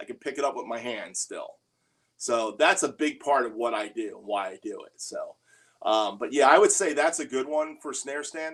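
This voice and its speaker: His loudness shows big swings. The man keeps a moderate pace. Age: 60s. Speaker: drummer and livestream host. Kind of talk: casual livestream Q&A. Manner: casual, conversational with filler words.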